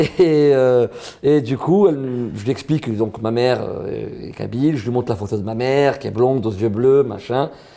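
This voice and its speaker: Moderate pace and ordinary pitch variation in a man's medium-pitched voice. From southern France, Marseille. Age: 30s. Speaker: comedian. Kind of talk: interview. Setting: interview. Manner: casual, animated.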